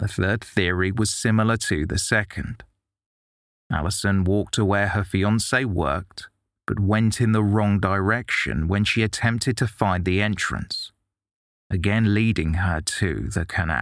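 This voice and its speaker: In a normal speaking voice, a man talks at a fairly slow pace with a fairly low pitch and ordinary pitch variation. His loudness stays very even, and the recording is very clean with a silent background. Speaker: podcast narrator. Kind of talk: true-crime narration. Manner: measured, grave, steady storytelling pace.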